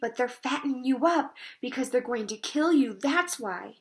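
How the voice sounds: A woman puts on a character voice, pitched high with a slightly husky edge. Her intonation is lively and her pace moderate.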